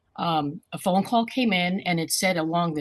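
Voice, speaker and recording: Somewhat breathy, a woman speaks at a fairly low pitch in a dry, close sound with no echo. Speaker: scam victim. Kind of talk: testimony. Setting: video call.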